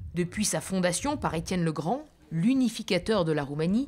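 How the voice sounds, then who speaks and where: The voice has vocal fry and very wide pitch swings. Its pace is fairly slow. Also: woman. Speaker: travel show presenter. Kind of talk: travel documentary narration. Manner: whispering.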